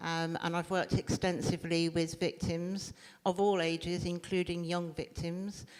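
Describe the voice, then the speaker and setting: A woman speaks with a British accent at a fairly slow pace. Her fairly low voice stays monotone and flat. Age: 60s. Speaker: domestic abuse trainer. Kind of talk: panel talk.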